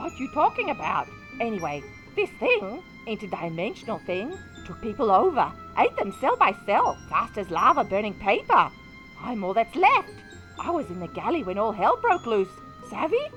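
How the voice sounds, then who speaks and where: Someone performs a put-on character voice over clear music in the background. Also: moderate pace. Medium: audio drama. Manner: fast, urgent.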